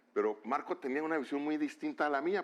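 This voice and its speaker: Very fast and marked by vocal fry, a man's voice. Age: 60s. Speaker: author and bullfighting expert. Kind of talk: interview. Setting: studio.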